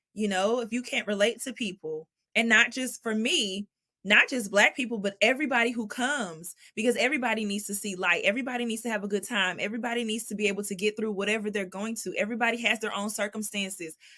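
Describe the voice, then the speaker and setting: A woman talks very fast with a Southern accent. Her pitch is fairly high and her tone is bright and sharp. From Texas (Dallas). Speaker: jazz vocalist. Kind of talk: interview conversation. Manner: animated.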